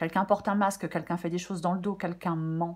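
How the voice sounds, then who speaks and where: Her intonation remains fairly even throughout. The woman's voice is fairly low in pitch. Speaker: tarot reader. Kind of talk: tarot reading. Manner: hesitant, many fillers.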